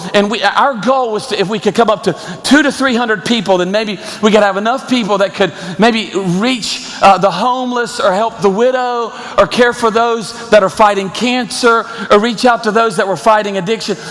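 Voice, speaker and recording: A man with a high voice speaks at a moderate pace and with fairly even intonation over noticeable background noise. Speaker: pastor. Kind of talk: sermon.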